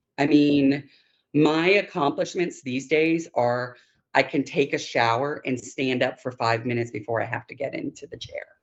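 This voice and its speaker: Woman with an American accent at a very deep, low pitch, ordinary pitch variation, and a moderate pace. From northern US. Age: 50s. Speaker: knee replacement patient. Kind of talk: interview.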